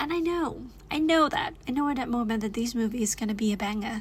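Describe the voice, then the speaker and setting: Animated in tone, a woman with a Thai accent talks at a fairly high pitch. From Thailand. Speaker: YouTuber. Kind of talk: casual vlog chat. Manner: halting.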